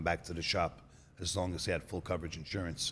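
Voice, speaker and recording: A man speaks in a very deep, low voice. He has a New York accent. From New York City. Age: 30s. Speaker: auto body shop owner. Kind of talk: podcast interview. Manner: casual storytelling.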